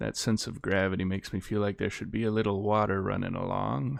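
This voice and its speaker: Soft-spoken with vocal fry, the voice comes through on a very clean recording with a silent background. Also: man. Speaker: gaming YouTuber. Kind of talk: gameplay commentary. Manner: quiet.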